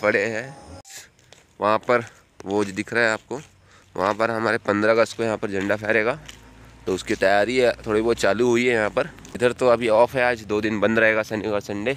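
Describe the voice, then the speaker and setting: A man at a moderate pace, fairly even intonation, dry sound with no echo. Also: fairly low pitch for a man. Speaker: vlogger filming. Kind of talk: casual vlog chat. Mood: cheerful, relaxed. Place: open country. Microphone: phone near.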